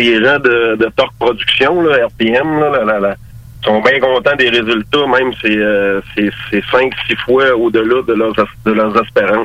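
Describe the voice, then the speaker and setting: At a very slow pace, a man speaks with very even loudness and fairly even intonation. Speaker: car restorer. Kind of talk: casual chat.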